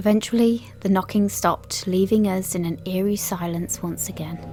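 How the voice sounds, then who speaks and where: A woman talks at a moderate pace with a fairly low pitch and fairly even intonation. Music plays in the background. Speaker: podcast host. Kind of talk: ghost story narration.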